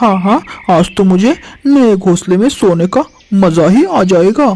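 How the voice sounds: This cartoonish character voice sits at a middle pitch and moves at a moderate pace.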